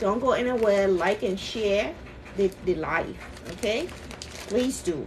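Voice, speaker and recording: Noticeable background noise under a woman talking at a medium pitch and a fairly slow pace. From Liberia. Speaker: cooking streamer. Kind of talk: live cooking stream, casual chat.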